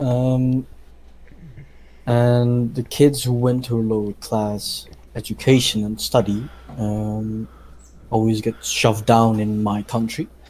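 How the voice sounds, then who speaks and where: Speaking in a Dutch accent, a man keeps a monotone, flat intonation and a dark, mellow tone at medium pitch, going at a very slow pace with long, frequent pauses. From Netherlands. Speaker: podcast co-host, pastry chef. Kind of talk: casual chat. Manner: halting, many fillers.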